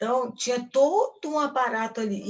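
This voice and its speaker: A woman's voice with lively intonation. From Brazil, Rio de Janeiro (Ipanema). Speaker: actress. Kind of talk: lecture. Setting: talk to film students.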